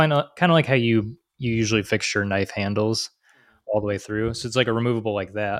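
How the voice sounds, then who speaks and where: On a very clean recording with a silent background, a man speaks in a normal speaking voice at a fairly low pitch and a moderate pace. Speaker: podcast host, machinist. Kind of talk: casual chat.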